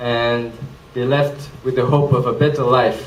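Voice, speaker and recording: A man speaks in a French accent, with audible room echo and noticeable background noise. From Switzerland, near Geneva (French-speaking). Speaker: presenter, social entrepreneur. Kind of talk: presentation talk. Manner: hesitant, many fillers.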